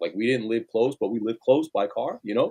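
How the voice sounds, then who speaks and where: Speaking at a very fast pace with a New York accent, a man comes through with a dry, close sound and no echo. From Queens, New York City. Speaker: sneaker store manager and line organizer. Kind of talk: casual chat.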